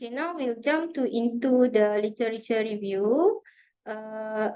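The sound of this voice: A woman speaks at a fairly slow pace with fairly high pitch. Her tone is clear and smooth.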